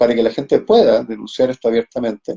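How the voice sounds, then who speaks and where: A man's dark, mellow voice moves at a fairly quick pace with very wide pitch swings, recorded with a dry, close sound and no echo. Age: 60s. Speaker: cancer patient advocate and live stream host. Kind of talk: conversational interview on a live stream. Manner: hesitant, many fillers.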